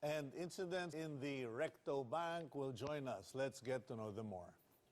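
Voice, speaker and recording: Lively intonation marks a plain, everyday voice going at a fairly slow pace. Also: man. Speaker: TV news talk show host. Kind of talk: TV talk show interview questions.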